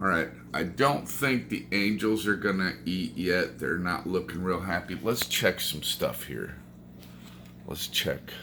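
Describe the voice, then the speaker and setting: A man with a very deep, low pitch and vocal fry speaks in a bright, sharp tone. He moves at a fairly slow pace with very wide pitch swings. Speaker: aquarium hobbyist vlogger. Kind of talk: casual vlog. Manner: animated.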